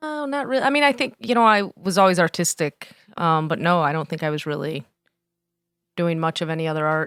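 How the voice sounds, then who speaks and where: In a dry, close recording with no echo and a silent background, a woman with a fairly low voice talks fairly quickly, her pitch swinging very widely. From Joliet, Illinois. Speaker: glass artist. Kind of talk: casual interview. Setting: studio.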